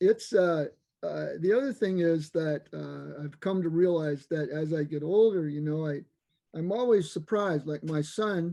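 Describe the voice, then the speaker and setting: This man has a high pitch and a dark, mellow tone. He speaks at a fairly slow pace with ordinary pitch variation. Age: 70s. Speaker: Zen practitioner giving a dharma talk. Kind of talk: dharma talk. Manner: halting, many fillers.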